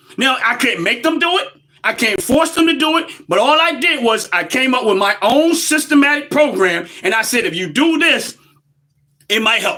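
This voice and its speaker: A man's raised, projected voice with an American accent, extremely high in pitch for a man, passionate in tone, with very wide pitch swings at a moderate pace. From United States. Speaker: livestream commentator. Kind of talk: live-stream monologue. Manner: loud, passionate.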